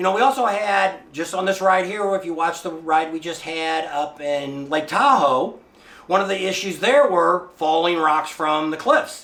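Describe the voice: A man speaks with a fairly high pitch and a fairly bright tone at a moderate pace. His pitch varies in an ordinary way, and audible room echo surrounds him.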